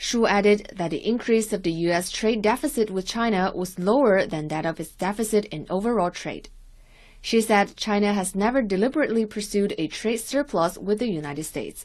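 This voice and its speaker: Quick-ish at a fairly quick pace, a woman has an unremarkable speaking voice at medium pitch. Her pitch variation is ordinary, and the background is quiet. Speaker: news reporter. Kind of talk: scripted news report. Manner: formal, measured, neutral.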